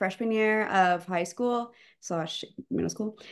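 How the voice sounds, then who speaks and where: With an American accent, a woman speaks very slowly at a fairly high pitch with ordinary variation against a quiet background. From Texas, Austin area. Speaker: college gymnast. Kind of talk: casual interview. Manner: hesitant, many fillers.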